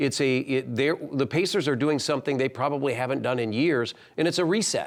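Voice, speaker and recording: A man with a normal speaking voice talks at a fairly quick pace, fairly high in pitch with ordinary variation and very even loudness, on a very clean recording with a silent background. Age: 60s. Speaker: basketball team broadcaster. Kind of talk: interview.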